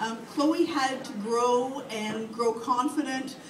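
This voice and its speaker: A woman's high voice with a Canadian accent, noticeable background noise and audible room echo. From Canada, London, Ontario. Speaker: author. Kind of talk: Q&A at a book signing. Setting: bookstore event with audience.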